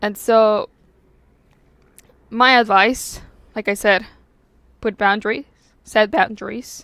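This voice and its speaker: A woman speaks at a fairly slow pace with a non-native accent. Her pitch is fairly high. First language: not English. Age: 20s. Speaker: YouTuber giving life advice. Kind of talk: casual vlog monologue. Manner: halting, many fillers.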